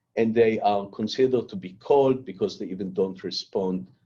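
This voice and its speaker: Lively intonation carries a dark, mellow tone at a moderate pace. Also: man. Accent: non-native. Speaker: cancer research scientist giving a lecture. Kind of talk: lecture. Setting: online lecture.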